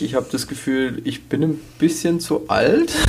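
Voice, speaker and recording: Behind this recording there is noticeable background noise. A man talks fairly slowly over it. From Swabia. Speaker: podcast co-host. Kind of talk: casual chat.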